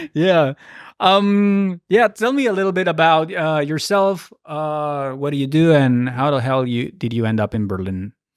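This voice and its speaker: With a Spanish accent, a man talks fairly slowly at a fairly high pitch, his voice moving through very wide pitch swings. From Mexico. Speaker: podcast host. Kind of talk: casual chat.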